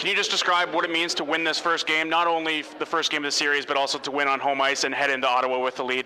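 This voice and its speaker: A man talks at a very fast pace with a fairly high pitch and monotone, flat intonation against noticeable background noise. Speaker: sports broadcaster. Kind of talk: sports interview, host asking questions.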